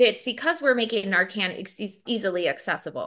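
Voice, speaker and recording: A woman with a Wisconsin accent speaks at a fairly high pitch, her tone bright and sharp and her intonation lively. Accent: Upper Midwest (Wisconsin) American. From Milwaukee, Wisconsin (inner-city South Side). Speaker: addiction treatment program manager. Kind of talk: interview. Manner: casual, conversational with fillers.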